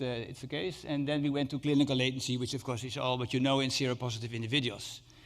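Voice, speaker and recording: A man rattles off his words at a very fast pace, his medium pitch held in fairly even intonation. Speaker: HIV researcher. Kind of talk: conference lecture. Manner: halting, many fillers.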